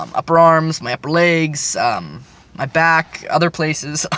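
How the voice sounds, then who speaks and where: A man speaks in a fairly high voice against noticeable background noise. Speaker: vlogger documenting gender transition. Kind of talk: casual vlog update. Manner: hesitant, many fillers; hurried.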